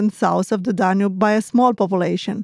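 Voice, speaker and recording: On a very clean recording with a silent background and a dry, close sound with no echo, a woman with a Romanian accent speaks at a fairly high pitch with fairly even intonation. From Romania (Moldova region). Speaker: language teacher host. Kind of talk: educational lesson dialogue.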